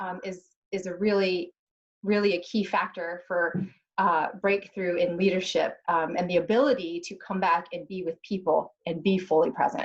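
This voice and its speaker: Medium in pitch, a woman speaks with fairly even intonation. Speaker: crisis leadership panelist. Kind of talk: panel discussion. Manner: fast.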